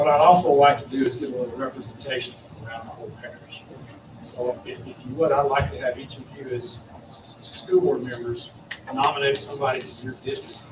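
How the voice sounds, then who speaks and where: Heard with audible room echo and noticeable background noise, a man with a Louisiana accent talks at a fairly quick pace and medium pitch, with fairly even intonation, big swings in loudness and long, frequent pauses. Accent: Louisiana Southern US. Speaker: extension agent presenting to school board. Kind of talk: public meeting presentation. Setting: school board meeting. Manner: fast.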